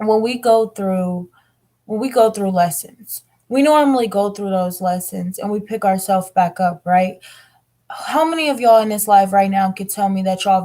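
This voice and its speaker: Somewhat breathy, this woman's voice has a dark, mellow tone. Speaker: tarot reader. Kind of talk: tarot reading monologue. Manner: emotional, earnest.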